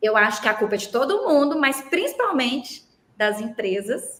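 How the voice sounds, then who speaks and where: The speaker has a Minas Gerais accent and ordinary pitch variation. The pace is fairly slow. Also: woman. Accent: mineiro Brazilian Portuguese. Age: 40s. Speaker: labor lawyer. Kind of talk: podcast interview. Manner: animated.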